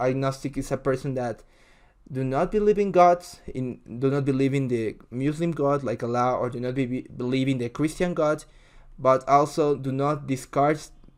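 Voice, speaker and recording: A man with a Spanish accent, medium pitch and fairly even intonation. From Ecuador. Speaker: video reactor. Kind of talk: casual reaction commentary. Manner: halting, with many fillers.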